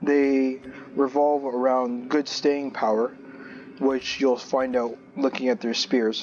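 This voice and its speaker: Over music in the background, a man speaks very slowly in a flat monotone at medium pitch, his loudness very even. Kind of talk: gaming video commentary. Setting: low-quality headphone microphone. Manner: casual, hesitant with fillers.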